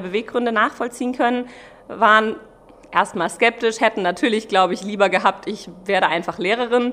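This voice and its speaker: There is noticeable background noise as a woman speaks fairly quickly at a fairly high pitch with ordinary pitch variation. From Germany, Mainz. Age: 30s. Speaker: pastry chef. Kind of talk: interview.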